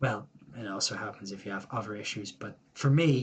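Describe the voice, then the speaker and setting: A somewhat breathy man speaks with an Irish accent. His pace is moderate and his pitch varies in an ordinary way. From Ireland. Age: 20s. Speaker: YouTuber. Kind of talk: personal vlog monologue. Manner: casual, rambling.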